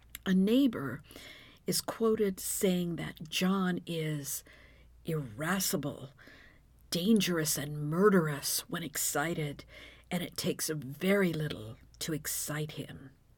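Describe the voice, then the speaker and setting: At a very slow pace, a woman speaks in a fairly low, somewhat breathy voice with lively intonation over a very clean recording and a silent background. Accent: American. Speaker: true crime podcaster. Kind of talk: scripted narration of a true crime story with humorous asides. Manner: humorous, judgmental, informal.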